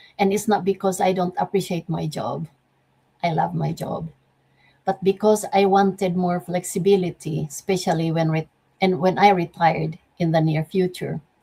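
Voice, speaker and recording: This woman has a fairly low, dark, mellow voice that is somewhat breathy. Her intonation stays monotone and flat. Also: moderate pace. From Philippines. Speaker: optics manager and network marketing speaker. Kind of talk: motivational talk.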